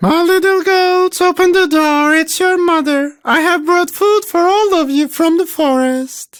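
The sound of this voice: An extremely high, squeaky cartoonish character voice at a moderate pace with hardly any pauses.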